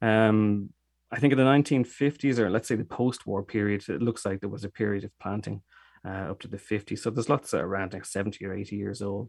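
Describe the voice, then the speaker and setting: A man with an Irish accent talks at a very fast pace. His fairly low pitch varies in an ordinary way, and the sound is dry and close with no echo. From Dublin, Ireland. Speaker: cider maker. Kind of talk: interview.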